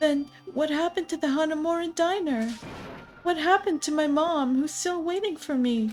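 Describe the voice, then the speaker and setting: A woman puts on a character voice with an extremely high pitch at a moderate pace. Music plays clearly in the background. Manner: emotional, urgent.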